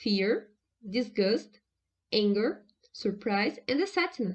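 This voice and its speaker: A woman with a fairly high pitch and lively intonation. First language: Portuguese. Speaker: researcher. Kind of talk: conference presentation. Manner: formal.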